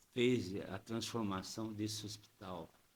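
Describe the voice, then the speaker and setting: A man talks in a medium pitch. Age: 70s. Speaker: politician. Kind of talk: podcast interview. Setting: studio.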